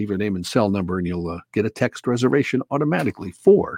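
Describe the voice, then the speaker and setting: The sound is dry and close with no echo, against a quiet background. A man speaks with very wide pitch swings. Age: 60s. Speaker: radio news reader. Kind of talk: news reading.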